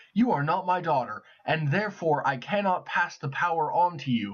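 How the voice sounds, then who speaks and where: A man uses a put-on character voice at a high pitch. His intonation is lively. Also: moderate pace. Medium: read story. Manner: grand and imperious.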